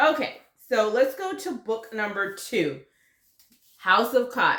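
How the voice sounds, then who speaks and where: A woman with an American accent, animated tone, and very wide pitch swings. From US South. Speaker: book youtuber. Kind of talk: casual chat.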